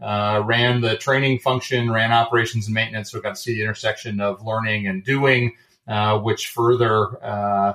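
This man speaks with a Michigan accent at medium pitch and a fairly quick pace. His intonation stays fairly even. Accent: Midwestern American (Michigan). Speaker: airline co-founder, former Navy fighter pilot, business school lecturer. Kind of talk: interview.

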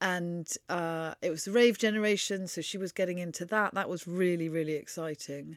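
In a southern English accent, a woman speaks at a fairly low pitch and a moderate pace with hardly any pauses and fairly even intonation, on a very clean recording with a silent background. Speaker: author and journalist. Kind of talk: casual interview. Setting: in-person recording.

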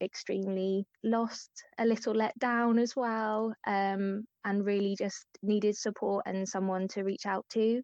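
An unremarkable speaking voice from a woman at a medium pitch, fairly slow and fairly even in intonation. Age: 30s. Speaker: anorexia recovery advocate. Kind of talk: interview.

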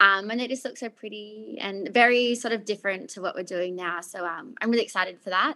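At a fairly quick pace, a woman with an Australian accent, medium pitch, and a bright, sharp tone uses ordinary pitch variation and big swings in loudness. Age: 20s. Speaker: fragrance company founder. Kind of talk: interview. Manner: casual, laughs often.

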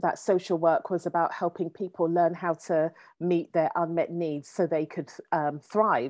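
An ordinary speaking voice at a fairly slow pace. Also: woman. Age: 40s. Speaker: coach and educator, former social worker. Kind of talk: interview conversation.

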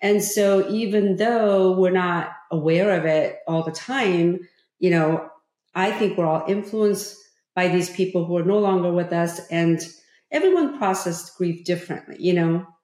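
A woman with a Korean accent speaks in a dark, mellow tone at medium pitch and a moderate pace, with fairly even intonation and very even loudness. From South Korea (Seoul). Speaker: former state politician and author. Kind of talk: interview conversation.

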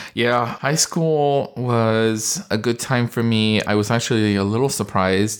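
A man talks in a plain, everyday voice at medium pitch, fairly slowly and with hardly any pauses. His loudness stays very even, and his pitch varies an ordinary amount. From California. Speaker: dermatologist. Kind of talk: interview.

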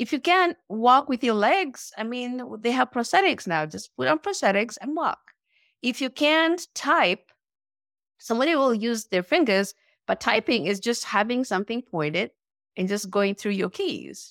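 Dry and close with no echo, a woman's fairly high voice moves at a moderate pace. Her pitch swings very widely. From Nairobi, Kenya. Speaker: business owner and amputee endurance athlete. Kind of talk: interview.

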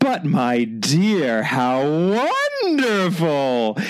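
A man performs a put-on character voice with a dramatic tone at a fairly high pitch, over light background noise and sound effects in the background. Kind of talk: dramatic reading. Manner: exaggerated, dramatic, effusive.

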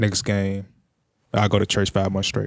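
Recorded with a dry, close sound and no echo, a man speaks at a fairly low pitch. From US South, Jackson, Tennessee. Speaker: youth mentor and coach. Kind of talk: casual interview.

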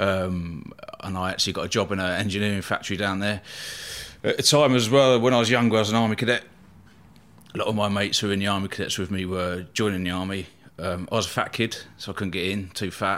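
A man talks at a very fast pace and a fairly low pitch. His intonation is fairly even, in a southern English accent. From southern England, Eastbourne, East Sussex. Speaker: bodyguard. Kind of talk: casual chat.

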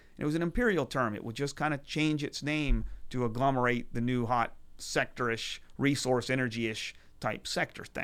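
The recording is very clean, with a silent background, and the man has an ordinary speaking voice. His pitch is medium, his intonation fairly even, and his pace moderate. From Texas, Houston. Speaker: venture capitalist. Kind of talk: casual chat. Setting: studio.

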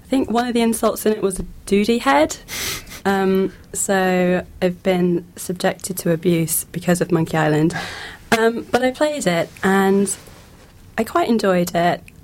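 A normal speaking voice, ordinary pitch variation, and a fairly slow pace. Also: woman, medium pitch for a woman. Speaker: panelist discussing games. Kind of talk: casual group chat. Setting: radio studio.

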